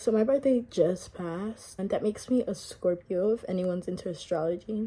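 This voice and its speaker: Over noticeable background noise, a woman with an American accent speaks at a moderate pace and medium pitch, with ordinary pitch variation. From Miami, Florida. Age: 20s. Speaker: vlogger. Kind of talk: get-ready-with-me chat. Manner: relaxed.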